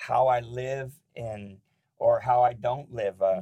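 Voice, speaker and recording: At a fairly slow pace, a man speaks at medium pitch in a dark, mellow tone that is somewhat breathy. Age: 50s. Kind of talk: casual devotional talk. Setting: studio.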